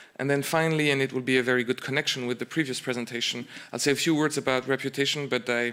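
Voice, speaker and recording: Speaking at a very fast pace, a man with a French accent has a bright, sharp tone, monotone, flat intonation and very even loudness. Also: medium pitch for a man. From France. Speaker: insurance broker. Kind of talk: conference presentation. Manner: hesitant, many fillers and repeats.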